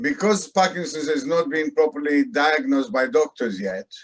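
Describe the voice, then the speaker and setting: At a moderate pace, a man with a fairly high pitch makes very wide pitch swings. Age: 80s+. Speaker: man with Parkinson's. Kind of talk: conversation. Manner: halting.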